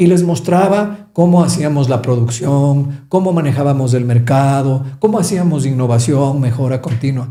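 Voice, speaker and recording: A man's somewhat breathy voice, dark and mellow in tone, carries audible room echo. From Ecuador, Quito. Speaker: business coach. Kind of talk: podcast interview.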